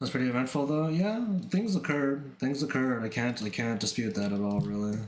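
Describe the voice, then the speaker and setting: A man at a medium pitch with lively intonation and very even loudness, at a fairly quick pace, with audible room echo. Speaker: art streamer. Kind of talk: casual livestream chat. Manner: halting, repetitive fillers.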